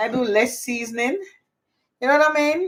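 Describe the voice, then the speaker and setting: A woman is speaking. She has a Jamaican accent. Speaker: cooking and gardening YouTuber. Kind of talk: casual cooking livestream chat. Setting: home kitchen, on camera. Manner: chatty, informal.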